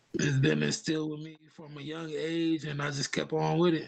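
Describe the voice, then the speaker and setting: Speaking at a moderate pace, a man with an American accent holds a fairly high pitch in a monotone, flat intonation. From upstate New York. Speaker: hip hop artist. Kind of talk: interview. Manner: halting, many fillers.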